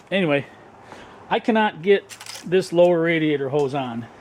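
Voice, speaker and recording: There is noticeable background noise as a man talks at a fairly slow pace. His high pitch carries lively intonation. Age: 50s. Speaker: car mechanic vlogger. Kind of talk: casual narration while working. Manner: halting, many fillers.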